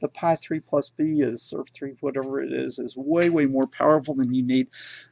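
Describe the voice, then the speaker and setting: A man with a strong Texan accent and a dark, mellow tone at a moderate pace, dry and close with no echo, on a very clean recording with a silent background. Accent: Texan, self-described as strong. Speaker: tech educator and teacher. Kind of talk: livestream Q&A and product review. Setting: live stream. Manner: casual, filler-heavy (uh, okay).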